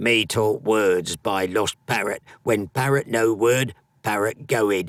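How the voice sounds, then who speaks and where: In a very clean recording with a silent background, a man does a put-on character voice that is gruff and gravelly, fairly low in pitch, at a fairly slow pace. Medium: read story. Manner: broken, clipped speech; gruff, grunting.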